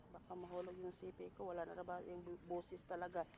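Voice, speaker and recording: The voice carries a Visayan accent. Its pace is moderate. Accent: Visayan accent in Tagalog. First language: Cebuano (Bisaya) (speaking Tagalog). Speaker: farming vlogger. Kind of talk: casual vlog narration.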